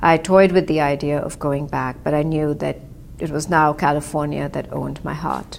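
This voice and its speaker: A woman speaks with an Indian accent. Her pace is moderate. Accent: Indian English, described as clipped. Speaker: author. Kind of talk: personal storytelling. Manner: reflective, with frequent hesitations.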